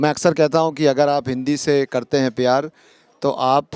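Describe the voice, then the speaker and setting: A man with a non-native accent talks at a moderate pace. His pitch is fairly high and his intonation is monotone and flat. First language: not Hindi (speaking Hindi). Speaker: community organization member. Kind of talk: interview. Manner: halting, many fillers.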